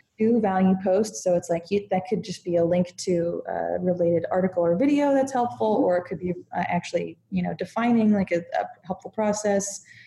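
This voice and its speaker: A woman speaks with ordinary pitch variation. It is an ordinary speaking voice. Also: medium pitch for a woman, fairly quick pace. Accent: American. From United States. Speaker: content marketer and writer. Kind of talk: interview conversation.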